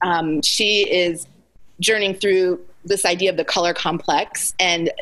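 The speaker has an American accent and a moderate pace. It is a plain, everyday voice. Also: woman. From Alaska (Anchorage), US. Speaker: author and speaker. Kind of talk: interview conversation.

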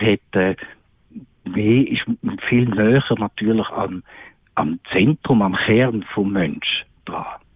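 A man's fairly low voice at a very slow pace, with long, frequent pauses. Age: 60s. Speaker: psychiatrist. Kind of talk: radio interview. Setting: remote call-in from holiday. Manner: hesitant, many fillers.

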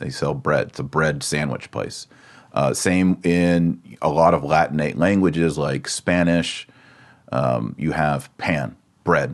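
The speaker has a Texan accent and talks at a fairly slow pace. Pitch variation is ordinary. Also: man. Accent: American, Texan. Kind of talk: lecture. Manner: instructional, deliberate.

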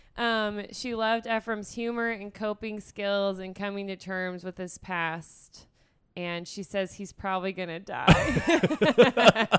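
Speaking very slowly, a woman at a medium pitch shows ordinary pitch variation and big swings in loudness. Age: 30s. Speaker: podcast co-host. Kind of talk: casual chat.

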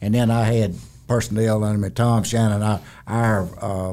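At a moderate pace, a man with a Southern US accent speaks in a dark, mellow tone at a medium pitch. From South Carolina. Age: 70s. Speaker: retiring construction executive. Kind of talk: interview conversation. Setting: studio. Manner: few words, plain-spoken.

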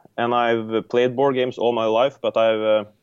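Speaking at a moderate pace, a man with a Norwegian accent keeps a monotone, flat intonation. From Norway. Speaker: board game designer. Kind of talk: casual interview chat.

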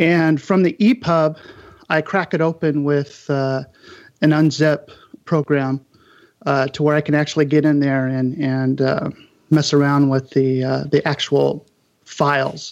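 A man with an unremarkable speaking voice talks at a fairly high pitch and a fairly slow pace, with fairly even intonation. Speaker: book designer. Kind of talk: panel discussion.

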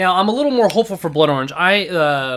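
A man with a West Coast US accent and lively intonation. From Seattle, US Pacific Northwest. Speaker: podcast guest. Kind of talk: casual chat.

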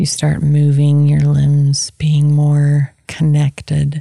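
A woman speaks in a very deep, low register with a dark, mellow tone and a calm, gentle manner. Her voice is somewhat breathy, recorded dry and close with no echo. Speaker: podcast host and meditation guide. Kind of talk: guided meditation, soothing instructions to a listener lying down with eyes closed. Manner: slow, calm and gentle, with long pauses between phrases; warm, soft-spoken and reassuring, with a low, hushed tone.

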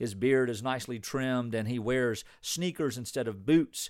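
A man speaks in a plain, everyday voice at medium pitch. He goes at a fairly slow pace with lively intonation. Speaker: pastor. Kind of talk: sermon.

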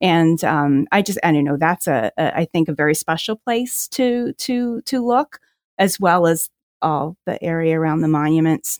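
In a very clean recording with a silent background and a dry, close sound with no echo, a woman with a plain, everyday voice and an American accent speaks at a fairly low pitch, with lively intonation and very even loudness. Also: moderate pace. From New Jersey. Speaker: special education professor and photographer. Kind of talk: casual interview chat.

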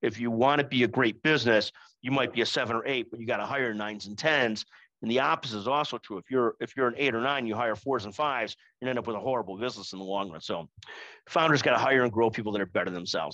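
A man's medium-pitched voice, bright and sharp in tone, at a very fast pace with ordinary pitch variation, dry and close with no echo, against a quiet background. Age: 50s. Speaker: business executive. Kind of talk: webinar presentation. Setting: online webinar. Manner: repetitive stammering starts.

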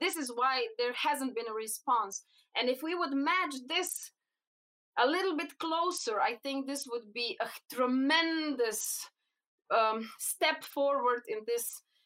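A woman with a Slovenian accent, high-pitched, bright and sharp in tone, with lively intonation at a very slow pace. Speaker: cannabinoid researcher. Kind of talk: interview. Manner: halting.

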